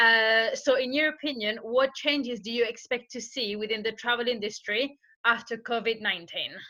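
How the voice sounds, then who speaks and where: A woman's fairly high, bright and sharp voice with a French accent, fairly even intonation and a moderate pace, on a very clean recording with a silent background. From France. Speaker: interviewer. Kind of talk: interview.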